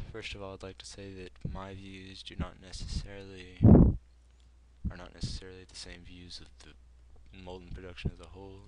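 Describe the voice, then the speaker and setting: A man's very deep, low voice with an American accent. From United States. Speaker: gaming video creator. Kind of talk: unscripted opinion commentary. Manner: halting, many fillers. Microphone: poor mic, breathy, audible breathing.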